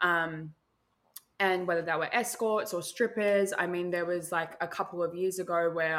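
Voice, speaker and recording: A woman uses a normal speaking voice at a fairly low pitch, moving at a moderate pace with fairly even intonation on a very clean recording with a silent background. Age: 20s. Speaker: content creator. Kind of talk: casual chat.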